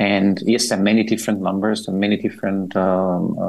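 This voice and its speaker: Talking at a very fast pace, a man with a fairly low pitch keeps a monotone, flat intonation. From Austria. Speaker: road safety expert. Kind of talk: radio interview.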